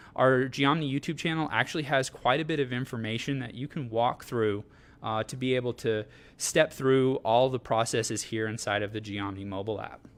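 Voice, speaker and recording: A man speaks at a fairly quick pace and medium pitch, his pitch varying an ordinary amount. The recording is very clean, with a silent background. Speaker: product trainer. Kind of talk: live product demo. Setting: live social media broadcast. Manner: fast; hesitant, many fillers.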